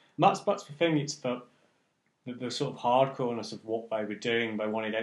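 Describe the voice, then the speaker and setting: With an English accent, a man talks with ordinary pitch variation. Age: 30s. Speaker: music event promoter. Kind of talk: casual chat.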